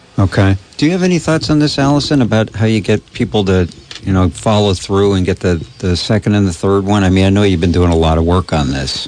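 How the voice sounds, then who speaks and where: Over noticeable background noise, a man with a fairly low pitch talks at a very fast pace, his loudness very even throughout. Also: lively intonation. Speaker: radio talk show host. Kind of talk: call-in talk radio. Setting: studio.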